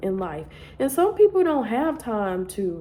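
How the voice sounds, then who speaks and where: Ordinary pitch variation at a fairly quick pace. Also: woman. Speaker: nursing school applicant. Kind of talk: casual vlog advice. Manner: animated.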